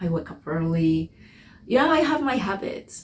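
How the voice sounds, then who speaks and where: A woman speaks in a somewhat breathy voice. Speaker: spiritual vlogger. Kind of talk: personal reflection monologue. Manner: halting, self-correcting.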